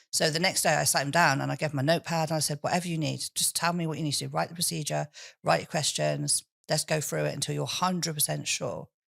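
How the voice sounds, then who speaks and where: On a very clean recording with a silent background, a woman speaks at a very fast pace. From England, Swindon. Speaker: businesswoman and public speaker. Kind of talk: interview. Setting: studio.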